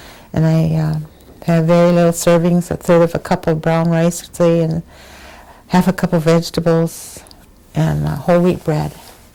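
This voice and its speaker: A woman's fairly low, monotone voice with an American accent and flat intonation, over noticeable background noise. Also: moderate pace. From Wisconsin, US. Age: 80s+. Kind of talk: oral history interview.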